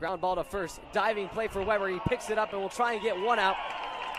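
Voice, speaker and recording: A man talks with a high pitch and fairly even intonation. Crowd noise sounds in the background. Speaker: baseball play-by-play broadcaster. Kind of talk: live baseball play-by-play commentary.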